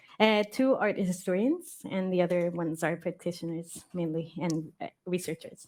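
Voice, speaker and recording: A woman with a fairly low pitch talks at a moderate pace with hardly any pauses and ordinary pitch variation. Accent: Spanish. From Mexico. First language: Spanish. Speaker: artistic researcher. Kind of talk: panel talk. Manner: hesitant, many fillers.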